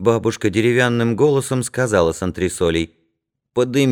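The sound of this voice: Someone reads in an unforced reading voice while the background stays quiet.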